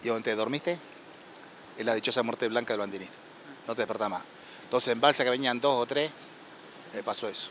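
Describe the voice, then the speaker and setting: Speaking at a very fast pace yet with long, frequent pauses, a man keeps a medium pitch and fairly even intonation. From Argentina, Copetonas (Buenos Aires province). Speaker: war veteran, shipwreck survivor. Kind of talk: interview testimony. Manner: halting.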